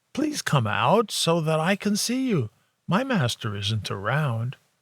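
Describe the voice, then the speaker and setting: Putting on a character voice, a man with a fairly high pitch speaks at a fairly slow pace, his pitch swinging very widely. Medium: read story.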